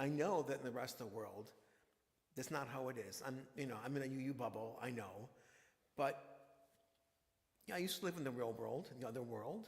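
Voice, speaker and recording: A man speaks at a medium pitch, his voice somewhat breathy. Room echo is audible. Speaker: minister. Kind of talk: sermon.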